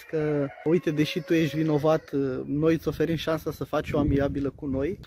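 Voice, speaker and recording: The speech comes at a moderate pace with monotone, flat intonation. The sound is dry with no echo, over light background noise. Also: man. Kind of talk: casual vlog chat. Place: street. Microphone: phone near.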